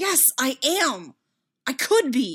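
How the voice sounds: A woman speaks slowly in a put-on character voice with a slightly husky edge and big pitch swings.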